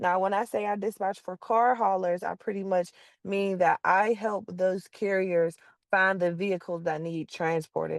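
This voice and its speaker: A woman with an American accent and a normal speaking voice talks at a moderate pace and medium pitch. The sound is dry and close with no echo, over a quiet background. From Pittsburgh, Pennsylvania. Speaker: car hauling dispatcher. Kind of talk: informal teaching talk.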